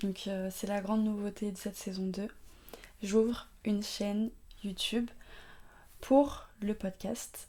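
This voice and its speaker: Speaking at a very slow pace with long, frequent pauses, a woman of medium pitch sounds somewhat breathy, with a dark, mellow tone and monotone, flat intonation. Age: 20s. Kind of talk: faith-based talk on mental health. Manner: casual, hesitant with many fillers.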